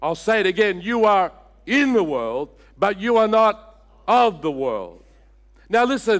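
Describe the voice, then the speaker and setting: Lively intonation marks this man's speech, captured in a very clean recording against a silent background. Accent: Australian. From Australia, Sydney. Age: 60s. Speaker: senior pastor. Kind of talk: sermon. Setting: church.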